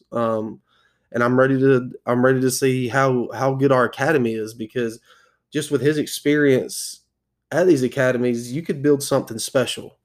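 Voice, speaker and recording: This is a normal speaking voice with an American accent, moving at a fairly quick pace with fairly even intonation. The recording is very clean, with a silent background. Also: man. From South Carolina. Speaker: soccer podcast host. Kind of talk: solo podcast commentary. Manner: casual with many fillers.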